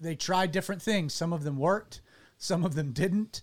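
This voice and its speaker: The man's pace is moderate, and his pitch moves in an ordinary way. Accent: Southern US. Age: 30s. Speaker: pastor and radio show host. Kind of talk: casual chat. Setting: studio.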